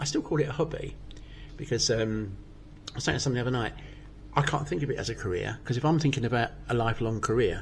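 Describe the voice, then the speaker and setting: Amid noticeable background noise, a man of medium pitch and ordinary pitch variation talks very fast, with long, frequent pauses. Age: 60s. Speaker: amateur stand-up comedian. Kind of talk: casual chat.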